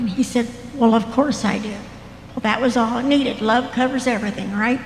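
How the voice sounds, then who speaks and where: A woman with an American accent in a monotone, flat intonation, amid audible room echo and noticeable background noise. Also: fairly high pitch for a woman, moderate pace. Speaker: church member sharing story. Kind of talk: testimony.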